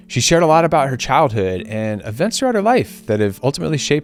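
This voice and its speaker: Over music in the background, a man talks at a very fast pace with very wide pitch swings. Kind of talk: documentary narration.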